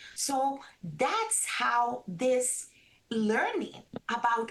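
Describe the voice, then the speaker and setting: Noticeable background noise sits behind the speech. A woman talks with a Spanish accent. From Caribbean coast of Colombia. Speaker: registered dietitian. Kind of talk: interview.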